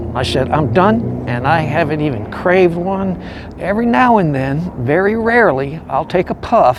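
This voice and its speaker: Noticeable background noise sits behind a man whose fairly high voice moves in very wide pitch swings. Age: 60s. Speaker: homeless veteran. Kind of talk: testimony. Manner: halting.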